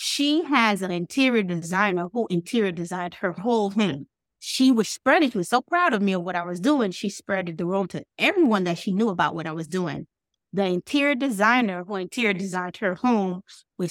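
A woman with an American accent and a normal speaking voice, medium-pitched, lively in intonation, at a fairly quick pace, on a very clean, dry, close recording with no echo and a silent background. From Bahamas, then US (Miami area). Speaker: foster youth advocate and nonprofit founder. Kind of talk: interview.

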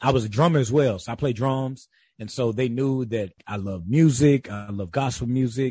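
This somewhat breathy voice has a dark, mellow tone, moving at a moderate pace with ordinary pitch variation over a quiet background. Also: man, medium pitch for a man. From US South, rural South Carolina. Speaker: author and theology student. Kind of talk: interview.

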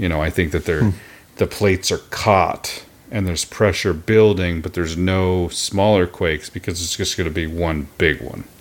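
A man with a very deep, low pitch and an American accent, at a moderate pace with fairly even intonation. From Oklahoma. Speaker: podcast co-host. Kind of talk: casual chat. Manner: sarcastic, laughs often.

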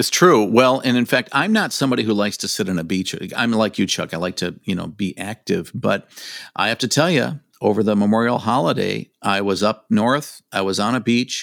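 A man with an ordinary speaking voice at a medium pitch, a fairly quick pace and ordinary pitch variation, in a very clean recording with a silent background. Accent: American. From Michigan. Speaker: tourism executive. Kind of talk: casual interview.

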